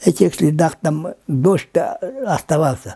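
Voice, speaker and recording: A man talks very slowly, his pitch fairly high. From Yakutia, Lower Kolyma. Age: 80s+. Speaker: linguist. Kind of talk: interview. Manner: halting.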